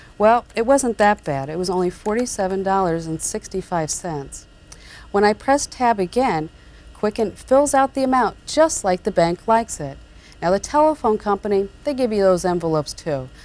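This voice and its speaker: A soft-spoken woman at a medium pitch, calm in tone, with very wide pitch swings and a moderate pace. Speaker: computer tutor, columnist and radio talk show host. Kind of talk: software tutorial narration. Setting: 1994 VHS tape recording. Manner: calm, softly-spoken.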